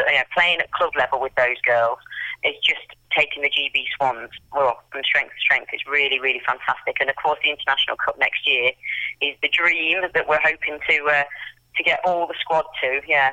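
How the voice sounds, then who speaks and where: With an English accent, the speaker delivers the words at a moderate pace. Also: woman. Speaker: amateur football team captain. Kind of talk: interview.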